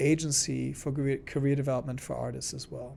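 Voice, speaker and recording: In a German accent, a man speaks at medium pitch. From Germany, small town. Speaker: arts organization executive. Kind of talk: interview.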